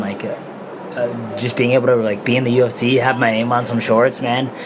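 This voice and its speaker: Soft-spoken and fairly quick, a man with an American accent talks at medium pitch in a monotone, flat intonation, with audible room echo and noticeable background noise. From Denver, Colorado. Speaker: mixed martial arts fighter. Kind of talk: casual interview. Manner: quiet. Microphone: too quiet.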